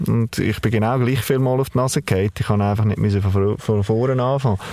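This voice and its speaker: A man at medium pitch talks in a plain, everyday voice, moving at a moderate pace and varying his pitch in an ordinary way. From Baden, Aargau, Switzerland. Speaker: family business owner. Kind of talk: interview.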